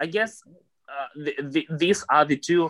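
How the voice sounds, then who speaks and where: Speech comes very slowly in a Russian accent, with a bright, sharp tone. The sound is dry and close, without any echo. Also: man. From Russia, Moscow. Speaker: podcast guest. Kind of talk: casual interview. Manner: halting.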